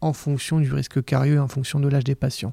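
This man's fairly high voice has a dark, mellow tone and fairly even intonation, recorded with a dry, close sound and no echo. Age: 30s. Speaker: dentist. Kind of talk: interview.

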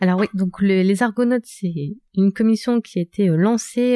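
Recorded dry and close with no echo, a woman with a medium pitch and a dark, mellow tone talks at a moderate pace with ordinary pitch variation. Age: 30s. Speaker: tech entrepreneur. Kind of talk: interview.

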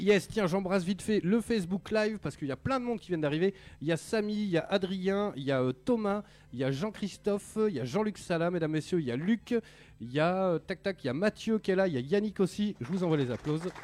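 Talking at a very fast pace, a man uses lively intonation in a high voice. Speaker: radio host of a video game show. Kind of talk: casual live radio chat. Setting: radio studio, live broadcast.

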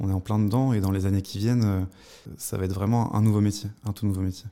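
Fairly quick in pace, a man speaks at a fairly low pitch with a dark, mellow tone. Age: 20s. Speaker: former accountant turned web developer. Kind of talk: interview. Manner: halting, many repetitions and fillers.

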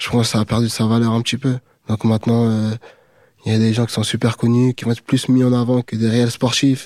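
A man's medium-pitched, monotone, flat delivery at a fairly quick pace, with long, frequent pauses, on a very clean recording with a silent background. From France, Aubervilliers (Paris suburbs). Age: 20s. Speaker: MMA fighter. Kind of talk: interview.

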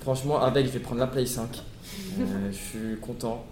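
Amid audible room echo, a man speaks fairly slowly at a medium pitch. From Paris region (Hauts-de-Seine). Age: 20s. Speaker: former prisoner. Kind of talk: testimony.

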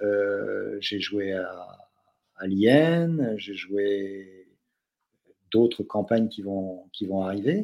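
A man with a dark, mellow tone and fairly low pitch speaks very slowly with long, frequent pauses and ordinary pitch variation, in a very clean recording with a silent background. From France, from an English-speaking family. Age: 60s. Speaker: doctor, novelist and role-playing gamer. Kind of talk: casual chat.

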